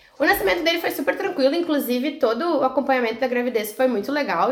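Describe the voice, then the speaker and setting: A woman talks at a high pitch amid noticeable background noise. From Rio Grande do Sul, Brazil (Canoas). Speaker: mother of a child with a rare disease. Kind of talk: casual interview.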